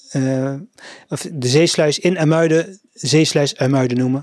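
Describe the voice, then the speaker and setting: This man's voice sits fairly high in pitch. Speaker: local news podcast host. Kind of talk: casual news roundup. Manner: hesitant, many filler sounds.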